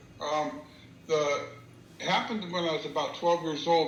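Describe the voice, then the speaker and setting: Audible room echo and noticeable background noise surround a man's fairly high voice. He speaks at a moderate pace with fairly even intonation. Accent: American. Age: 60s. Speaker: interviewee recounting paranormal encounter. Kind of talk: storytelling interview. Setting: video call. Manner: halting, many fillers.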